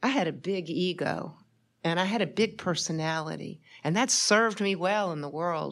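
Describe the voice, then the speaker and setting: A woman with a plain, everyday voice speaks at a moderate pace in a fairly low pitch, her intonation lively. The recording is very clean, with a silent background. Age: 60s. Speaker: retired business executive, speaker. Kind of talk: talk at church event. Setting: church venue with audience.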